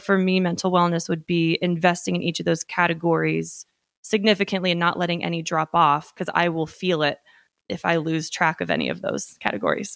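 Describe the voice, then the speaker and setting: A fairly low-pitched woman's voice at a fairly quick pace, fairly even in intonation, dry and close with no echo, on a very clean recording with a silent background. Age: 20s. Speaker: real estate saleswoman. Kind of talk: interview.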